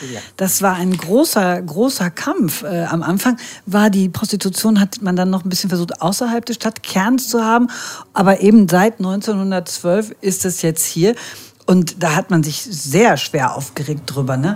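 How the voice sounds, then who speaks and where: Somewhat breathy and at medium pitch, a woman speaks at a fairly slow pace with lively intonation. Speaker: podcast host. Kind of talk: scripted narration; casual chat. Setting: walking outdoors.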